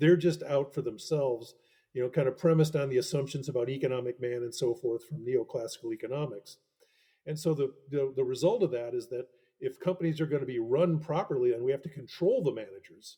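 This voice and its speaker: Speaking very fast with an American accent, a man has a fairly high pitch and a dark, mellow, somewhat breathy tone. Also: ordinary pitch variation. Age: 70s. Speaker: professor and author. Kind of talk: interview. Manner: halting, many self-corrections.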